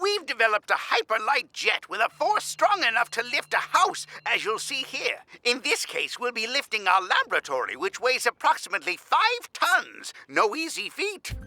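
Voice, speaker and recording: A man uses a cartoonish character voice at an extremely high pitch with very wide pitch swings. He keeps a moderate pace with hardly any pauses. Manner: chatty, rambling.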